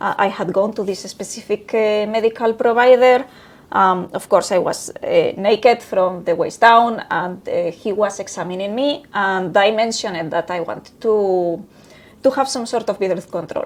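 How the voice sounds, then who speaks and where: In a Spanish accent, a woman speaks at a moderate pace with a fairly high pitch and ordinary pitch variation. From Spain. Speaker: human resources professional. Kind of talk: interview. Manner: halting.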